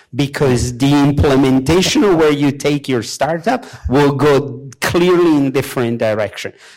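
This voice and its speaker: Against noticeable background noise, a man with a fairly high pitch talks at a fairly slow pace with hardly any pauses. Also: ordinary pitch variation. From Europe. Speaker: software engineer, panelist. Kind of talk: panel discussion. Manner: halting.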